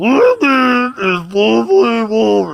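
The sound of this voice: In a put-on character voice, a man talks at a very slow pace with a high pitch.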